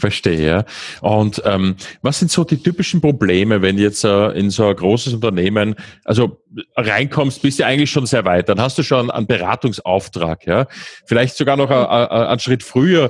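A man speaks at a moderate pace in a medium pitch, with lively intonation and very even loudness over a quiet background. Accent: Viennese. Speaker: podcast host, software company founder. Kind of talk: interview.

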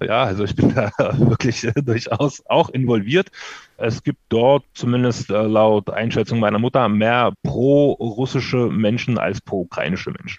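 At a moderate pace and medium pitch, a man speaks in an unremarkable speaking voice with ordinary pitch variation. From Ukraine (Odessa). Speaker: financial market analyst. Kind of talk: interview. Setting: studio.

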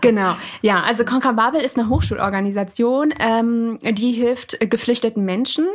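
Speaking at a moderate pace, a woman keeps her loudness very even, with a fairly high pitch, ordinary pitch variation and noticeable background noise. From Lower Saxony, Germany (Alfeld near Hildesheim). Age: 20s. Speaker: student and volunteer interpreter for refugees. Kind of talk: interview. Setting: home office recording.

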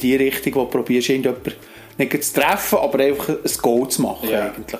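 Over noticeable background noise, a man with a medium pitch talks very fast with fairly even intonation. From Switzerland, canton of Bern (Alchenflüh). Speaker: sports association manager and player. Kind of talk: casual interview.

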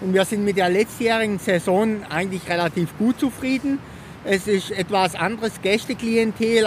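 A moderate pace amid noticeable background noise. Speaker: town tourism marketing manager. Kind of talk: interview. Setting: outdoors at waterfalls.

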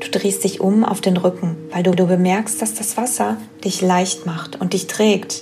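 Over music in the background, a woman with a medium pitch speaks at a fairly slow pace in a soothing, calm tone with lively intonation. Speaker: podcast host and wellness coach. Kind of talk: guided meditation. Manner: slow, soothing, calm; gentle, dreamy, soft-spoken.

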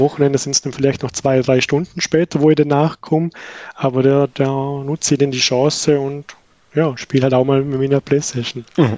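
A man in a Vorarlberg accent at a moderate pace, fairly high in pitch and monotone and flat, with a dry, close sound and no echo. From Austria, Vorarlberg. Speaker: new father, colleague. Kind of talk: casual chat.

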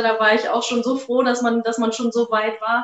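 Flat, monotone intonation marks speech that moves at a fairly quick pace. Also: woman. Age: 30s. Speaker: shop owner. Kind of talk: interview.

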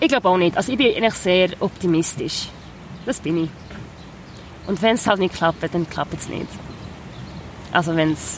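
Ordinary pitch variation at a moderate pace, with long, frequent pauses and noticeable background noise. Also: woman, medium pitch for a woman. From Basel, Switzerland. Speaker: singer-songwriter. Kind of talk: casual interview chat. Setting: outdoors on the Rhine riverbank.

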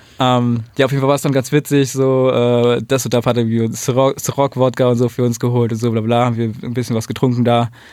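A man rushes along at a very fast pace with hardly any pauses. His intonation is monotone and flat. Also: medium pitch for a man. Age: 20s. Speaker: photographer. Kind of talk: casual chat. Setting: studio.

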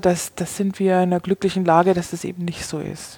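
A woman talks at a moderate pace in a medium pitch with a dark, mellow tone and monotone, flat intonation. The sound is dry and close, without echo. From Bavaria, Germany. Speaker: wine expert and former sommelier. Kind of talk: interview conversation.

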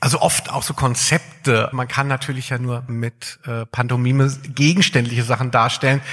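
A man is speaking. Background noise is noticeable throughout. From southern Hesse, Germany (Darmstadt). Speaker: podcast host, music journalist. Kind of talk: live podcast on stage, casual banter. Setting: stage with live audience.

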